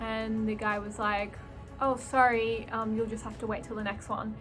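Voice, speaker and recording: A woman speaks with an Australian accent over music in the background. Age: 20s. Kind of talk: casual vlog talk to camera.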